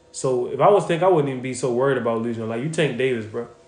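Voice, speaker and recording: Amid noticeable background noise and audible room echo, a man at medium pitch speaks very fast in an animated tone with lively intonation. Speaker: boxing content creator. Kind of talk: casual livestream chat answering viewer questions. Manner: casual, animated.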